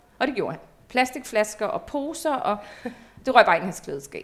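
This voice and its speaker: Lively intonation marks this woman's speech, which sits at a high pitch. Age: 40s. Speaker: former nude model. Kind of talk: casual chat. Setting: at the guest's home.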